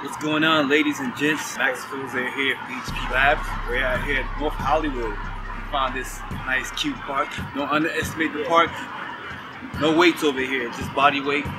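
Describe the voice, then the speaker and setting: A man's speech at a moderate pace comes through loud background noise. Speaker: fitness trainer. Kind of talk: casual vlog chat. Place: open country.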